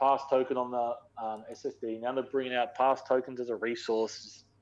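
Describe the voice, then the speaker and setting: A man with an Australian accent, medium pitch, monotone and flat intonation. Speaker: gaming podcast co-host. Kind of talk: casual chat. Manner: fast.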